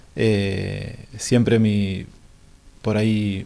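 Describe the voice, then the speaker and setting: The man's voice has a dark, mellow tone. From Buenos Aires area, Avellaneda; Buenos Aires. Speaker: lifeguard coach and PE teacher; lifeguard coach, PE teacher. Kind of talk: interview. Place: studio. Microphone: handheld.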